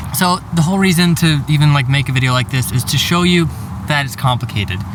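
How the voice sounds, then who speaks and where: Fairly high-pitched male voice at a moderate pace, with ordinary pitch variation and noticeable background noise. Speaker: real estate agent. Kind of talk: vlog. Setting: outdoors in a parking lot. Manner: casual, filler-heavy.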